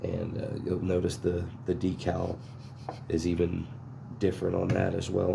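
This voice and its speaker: In a room with audible echo, a man whispers quietly at a fairly slow pace. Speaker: chainsaw restorer. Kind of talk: casual unboxing tutorial. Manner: whispering, quiet; hesitant with fillers.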